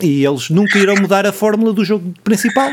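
In a European Portuguese accent, the speaker moves at a fairly quick pace with very wide pitch swings. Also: man. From Portugal, Ribatejo. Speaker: podcast host. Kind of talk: casual chat.

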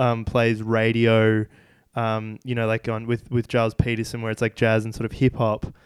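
With an Australian accent, a man of medium pitch speaks at a moderate pace in a monotone, flat intonation, recorded with a dry, close sound with no echo against a silent background in a very clean recording. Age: 20s. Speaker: podcast host. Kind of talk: casual interview.

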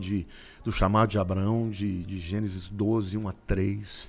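A man with an ordinary speaking voice talks at a fairly slow pace, his fairly low pitch held in a fairly even intonation. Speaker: pastor. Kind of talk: interview.

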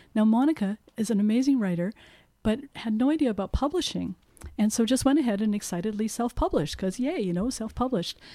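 A woman talks at a very fast pace with lively intonation, her fairly high voice somewhat breathy and dark and mellow in tone, on a very clean recording with a silent background. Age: 60s. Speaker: bookseller. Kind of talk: casual chat.

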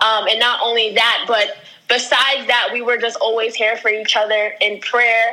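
With an American accent, a woman speaks at a moderate pace in a fairly high pitch, her intonation monotone and flat and her loudness very even, over noticeable background noise. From US Northeast, Long Island, New York. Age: 20s. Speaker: brand strategist and ministry worker. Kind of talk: interview.

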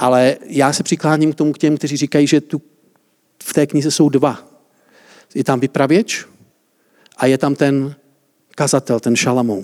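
In a dry, close sound with no echo, a man with a fairly high pitch talks at a moderate pace with fairly even intonation and long, frequent pauses. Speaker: preacher. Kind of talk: sermon. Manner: interactive, asks audience questions.

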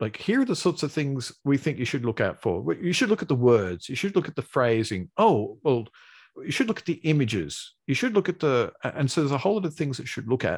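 A man speaks very fast with vocal fry and a fairly high pitch. His pitch swings very widely. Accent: Australian. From Australia. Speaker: search engineer guest. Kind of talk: casual interview. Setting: video call.

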